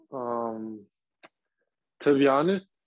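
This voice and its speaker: The voice belongs to a man with a medium pitch. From Texas, Laredo. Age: 20s. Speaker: professional footballer. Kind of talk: interview. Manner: halting, many fillers.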